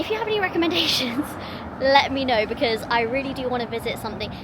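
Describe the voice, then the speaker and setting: Over noticeable background noise, a woman with a London accent talks at a very fast pace with ordinary pitch variation. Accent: southern English (London). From England. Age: 30s. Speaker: vlogger. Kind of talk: casual vlog talk to camera.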